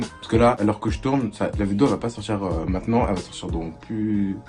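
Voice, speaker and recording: A man's fairly low voice with ordinary pitch variation at a fairly quick pace, music in the background. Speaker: YouTuber. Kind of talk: casual vlog storytelling. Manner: loud; hesitant, many fillers.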